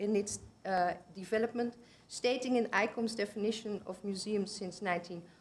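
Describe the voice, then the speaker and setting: Speaking with a Dutch accent, a woman with a fairly high pitch sounds somewhat breathy. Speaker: conference presenter, museum researcher. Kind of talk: conference presentation. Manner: halting, self-correcting.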